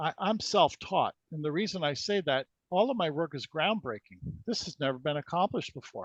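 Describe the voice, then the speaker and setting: The sound is dry and close with no echo and a quiet background as a man with a fairly high pitch speaks. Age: 60s. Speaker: energy healing researcher. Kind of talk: interview. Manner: halting.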